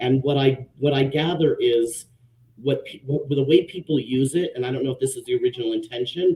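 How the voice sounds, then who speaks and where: A man's fairly high, somewhat breathy voice, fairly quick and fairly even in intonation, with big swings in loudness. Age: 50s. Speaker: social worker and panelist. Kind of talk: panel discussion live stream. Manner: hesitant, many fillers.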